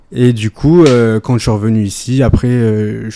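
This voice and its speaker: A man speaks very slowly in a dark, mellow tone with fairly even intonation. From France, Ardèche. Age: 20s. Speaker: amateur footballer. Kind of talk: interview. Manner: hesitant, many fillers.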